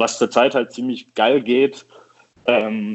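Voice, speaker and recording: Ordinary pitch variation colors a man's fairly slow speech. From Düsseldorf, western Germany. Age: 30s. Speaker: coffee roaster. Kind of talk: casual chat. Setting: phone call.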